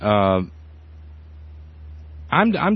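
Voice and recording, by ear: A man's voice with a slightly husky edge at a fairly slow pace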